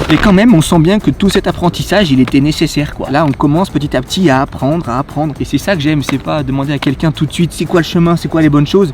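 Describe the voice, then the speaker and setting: Over noticeable background noise, a man talks at a very fast pace. His pitch variation is ordinary. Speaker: YouTuber doing a challenge. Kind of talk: vlog narration.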